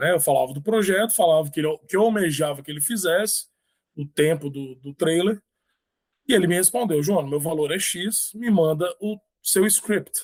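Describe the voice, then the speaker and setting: This man has a high voice. The way his pitch moves is ordinary. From Brazil, Espírito Santo. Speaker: author. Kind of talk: interview.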